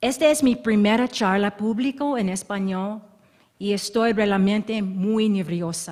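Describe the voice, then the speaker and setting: A woman with an American accent talks at a very slow pace. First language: English (speaking Spanish). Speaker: history professor. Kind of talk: academic lecture. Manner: halting.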